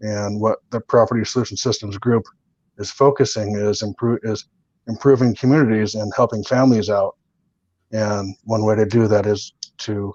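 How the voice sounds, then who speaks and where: A man with a Californian accent speaks at a fairly low pitch in a monotone, flat intonation. The sound is dry and close with no echo. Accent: General American, Californian. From Southern California. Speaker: real estate and solar entrepreneur. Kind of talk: interview answer.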